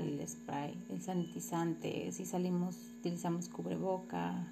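A woman speaks at a very slow pace. Noticeable background noise and audible room echo are present. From Mexico, Morelos. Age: 30s. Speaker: physical education teacher. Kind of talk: personal narrative for a course assignment. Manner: halting, with many repetitions and fillers.

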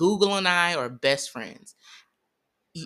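A woman with an American accent speaks at a moderate pace, her tone bright and sharp, with vocal fry and lively intonation. The recording is very clean, the background silent. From US Midwest, St. Louis, Missouri. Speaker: army veteran and wellness coach. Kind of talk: casual interview. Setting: host's home.

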